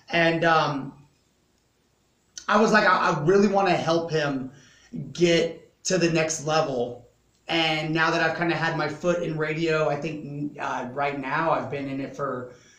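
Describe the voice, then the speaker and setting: Speaking at a fairly slow pace, a man with a fairly high pitch keeps his intonation fairly even amid audible room echo. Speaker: rapper and radio personality. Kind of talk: casual chat. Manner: loud.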